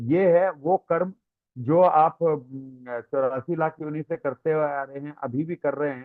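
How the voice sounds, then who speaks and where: A man speaks with a Tamil accent. His loudness swings widely. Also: fairly high pitch for a man. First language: Tamil (speaking Hindi). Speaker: spiritual teacher. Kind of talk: religious lecture with Q&A. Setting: online class. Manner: hesitant, frequent fillers.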